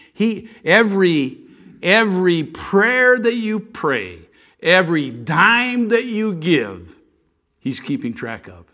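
A man speaks at a very slow pace in a bright, sharp tone. His pitch swings are very wide. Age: 70s. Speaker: visiting preacher, missionary. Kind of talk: sermon. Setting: church with congregation. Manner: halting, many fillers.

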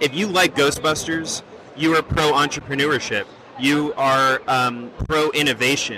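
Amid noticeable background noise, a man with a fairly high pitch speaks at a fairly slow pace, keeping very even loudness and ordinary pitch variation. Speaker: film program representative. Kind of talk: casual interview answer. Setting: convention show floor.

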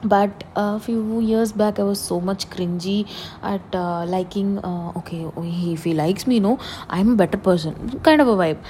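A woman speaks at a moderate pace with few pauses, her pitch medium and its variation ordinary. Her tone is dark and mellow.

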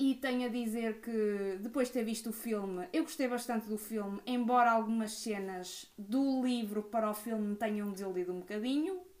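A woman speaks at a moderate pace with hardly any pauses, in an ordinary speaking voice. Her pitch is fairly high, with ordinary pitch variation. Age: 20s. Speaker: podcast co-host. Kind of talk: casual chat.

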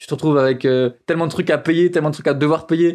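Speaking at a very fast pace, a man keeps his intonation fairly even and his pitch fairly high. The recording is very clean, with a silent background. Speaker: photographer and podcaster. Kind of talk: casual monologue. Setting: outdoors on a scooter in traffic.

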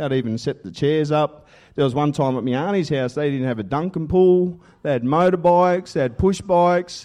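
Fairly high-pitched for a man, his voice has a dark, mellow tone in an Australian accent. The background is quiet. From Australia (western New South Wales). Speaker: assistant pastor. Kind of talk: testimony sermon. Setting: church with congregation.

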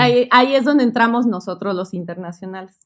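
Her pitch stays in a middle range for a woman, and her pitch variation is ordinary. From Mexico City. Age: 30s. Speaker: travel and education agency owner. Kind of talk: interview.

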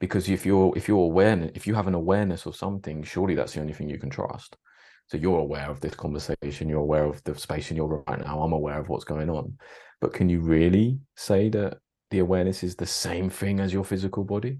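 Against a quiet background, a man with a British accent talks at a very fast pace in a very deep, low, dark and mellow voice. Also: ordinary pitch variation. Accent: British English, drops T's. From Britain. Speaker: podcaster. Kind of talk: casual chat.

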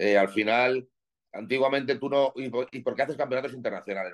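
An ordinary speaking voice. It moves at a fairly quick pace with fairly even intonation. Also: man. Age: 40s. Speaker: professional bodybuilder and gym owner. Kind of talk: casual interview chat.

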